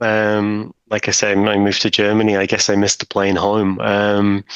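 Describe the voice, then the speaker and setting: His voice sits fairly low in pitch. The man takes his words at a fairly slow pace. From Britain. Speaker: technical documentation manager. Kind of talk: interview conversation. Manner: hesitant, many fillers.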